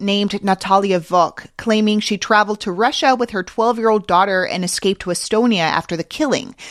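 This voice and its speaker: At a fairly quick pace, a woman talks in an ordinary speaking voice with a fairly high pitch. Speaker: podcast host. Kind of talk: news reading.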